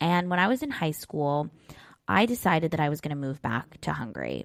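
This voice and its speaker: A woman with a very deep, low pitch talks at a fairly quick pace, her pitch swinging very widely. The recording is very clean with a silent background, and the sound is dry and close with no echo. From US West Coast, San Diego, California. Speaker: life coach and podcast host. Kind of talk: solo podcast monologue. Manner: casual, filler-heavy (like, you know).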